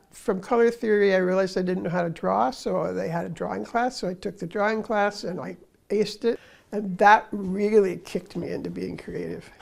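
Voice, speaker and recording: At a fairly quick pace, a woman talks in a medium pitch with ordinary pitch variation and vocal fry. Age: 80s+. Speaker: artist. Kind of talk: interview testimony.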